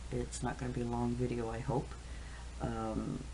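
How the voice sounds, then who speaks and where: A man speaks at a fairly slow pace. Audible echo fills the room. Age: 60s. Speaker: caregiver vlogger. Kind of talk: casual monologue. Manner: halting, many fillers.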